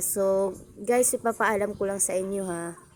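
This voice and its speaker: This is a woman's voice at a medium pitch. She speaks at a fairly slow pace. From Visayas, Philippines. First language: Cebuano/Bisaya (speaking Tagalog). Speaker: cooking vlogger. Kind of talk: cooking tutorial vlog. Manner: halting, self-correcting.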